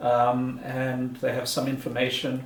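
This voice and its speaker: A man with a non-native accent, audible room echo and noticeable background noise. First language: not German. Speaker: beer reviewer, video blogger. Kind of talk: casual product review. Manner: halting, many fillers and repeats.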